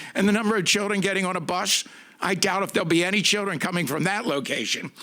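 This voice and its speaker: This man's voice is bright and sharp, pitched high, and raised to project. He talks at a very fast pace. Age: 70s. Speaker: public commenter at school board meeting. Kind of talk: public comment. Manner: animated.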